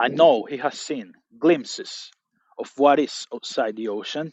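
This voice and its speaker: Speaking at a very slow pace, a man with a non-native accent uses lively intonation and a fairly high pitch. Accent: non-native English pronunciation. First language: not English. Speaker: motivational speaker. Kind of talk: motivational monologue.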